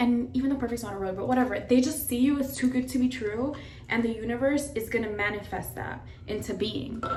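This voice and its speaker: A woman's animated, high-pitched voice at a fairly quick pace, with audible room echo and noticeable background noise. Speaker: lifestyle vlogger. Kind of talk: casual get-ready-with-me vlog. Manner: fast.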